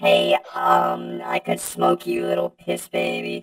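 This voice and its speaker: A put-on character voice, raspy and very deep and low, moves at a very slow pace. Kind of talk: crude, insulting. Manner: cocky, taunting.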